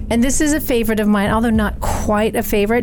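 A woman speaks over noticeable background noise. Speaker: podcast host and author. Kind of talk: casual chat.

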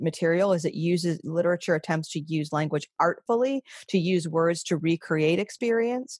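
This woman has an unremarkable speaking voice, pitched fairly low, with ordinary pitch variation. She keeps a moderate pace against a quiet background. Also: dry, close sound with no echo. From US Northeast (Maine, western New York). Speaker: English professor. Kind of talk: casual interview.

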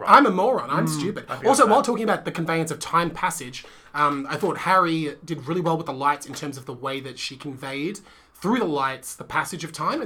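Someone speaks at a fairly quick pace. Noticeable background noise runs underneath. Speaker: podcast co-host. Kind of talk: casual, conversational. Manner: sounds sarcastic, dry.

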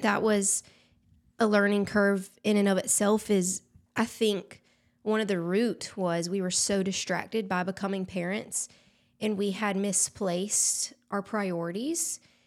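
A woman's medium-pitched voice in a Southern US accent, fairly slow and fairly even in intonation, in a very clean recording with a silent background. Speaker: influencer. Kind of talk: casual chat.

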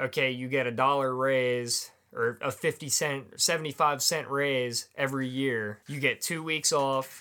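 At a fairly slow pace with hardly any pauses, a man with an American accent speaks at a medium pitch in a bright, sharp tone and fairly even intonation, recorded very cleanly against a silent background. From US Northeast, Pennsylvania (Lancaster County farmland). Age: 20s.

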